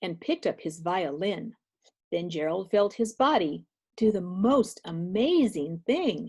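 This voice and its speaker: A woman with an ordinary speaking voice talks with lively intonation against a quiet background. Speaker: children's read-aloud teacher / grandmother figure. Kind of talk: rhyming story narration. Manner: warm, gentle, engaging.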